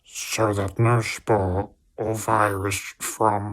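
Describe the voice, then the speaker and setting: A man's put-on character voice, fairly low in pitch, monotone and flat, at a very slow pace. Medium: read story. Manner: formal, officious.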